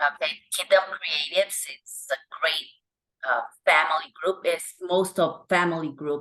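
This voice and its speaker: In a Honduran accent, the speaker talks at a very slow pace with a bright, sharp tone against a quiet background. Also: woman. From Honduras. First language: Spanish. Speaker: actress. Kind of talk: interview.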